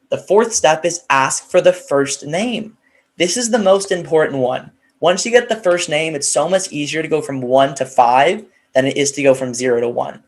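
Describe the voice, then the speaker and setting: An animated tone marks this man's fairly high-pitched voice at a moderate pace. The recording is very clean with a silent background. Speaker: sales rep giving a training talk. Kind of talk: conference presentation. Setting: virtual conference.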